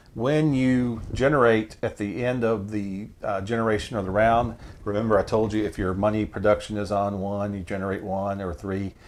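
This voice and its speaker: This is an unremarkable speaking voice from a man with a fairly low pitch and fairly even intonation. He keeps a moderate pace with hardly any pauses. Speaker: board game channel host. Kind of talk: tutorial.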